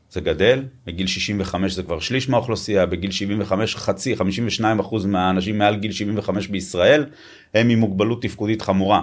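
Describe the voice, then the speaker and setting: On a very clean recording with a silent background, a man with an unremarkable speaking voice and fairly low pitch speaks at a moderate pace with ordinary pitch variation. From Israel, Tel Aviv. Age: 50s. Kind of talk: interview.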